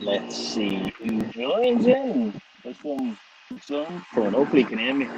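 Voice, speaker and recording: A man talks fairly slowly, with noticeable background noise behind him. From Liverpool, England. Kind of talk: casual live stream chat. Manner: casual, profane.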